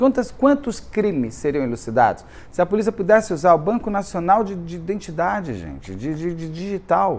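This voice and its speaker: A man speaks with very wide pitch swings and big swings in loudness. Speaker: true crime youtuber. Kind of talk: casual monologue. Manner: halting.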